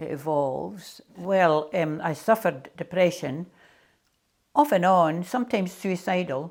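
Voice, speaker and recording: A woman speaks with a Scottish accent. The recording is very clean, with a silent background. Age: 70s. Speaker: artist. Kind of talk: interview monologue.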